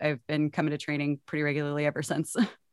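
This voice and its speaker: A woman with a Texan accent and a very deep, low pitch, in a dry, close sound with no echo over a quiet background. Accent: Texan American. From Texas. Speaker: club player. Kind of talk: casual chat. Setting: video call, home studio. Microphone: professional closed-in setup.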